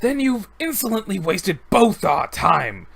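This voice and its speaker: A growling put-on character voice, fairly high in pitch, at a moderate pace. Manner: contemptuous, insolent.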